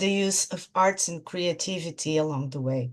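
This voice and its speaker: The voice comes with a Portuguese accent. The background is quiet. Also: woman. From Portugal. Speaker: clinical psychologist. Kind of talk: interview. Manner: halting.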